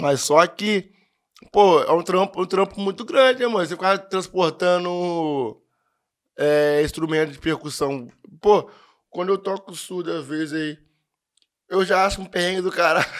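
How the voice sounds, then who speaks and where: Pausing long and often, a man speaks at a high pitch with ordinary pitch variation. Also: fairly slow pace, quiet background. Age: 20s. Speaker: amateur percussionist and steelworker; podcast guest. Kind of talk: casual chat. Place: studio. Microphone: studio mic.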